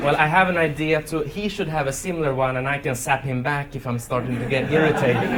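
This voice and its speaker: Speaking very fast with hardly any pauses, a man with a Swedish accent uses a fairly high pitch and ordinary pitch variation while crowd noise runs in the background. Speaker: memory champion and speaker. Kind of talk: conference talk. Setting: stage with audience.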